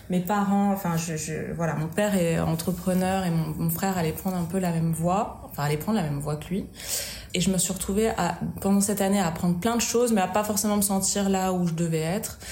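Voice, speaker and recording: At a fairly quick pace, a woman speaks at a medium pitch with fairly even intonation. Audible room echo and noticeable background noise surround her voice. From Auvergne, France. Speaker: style and decor blogger. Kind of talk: casual chat. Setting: office. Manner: hesitant, many fillers.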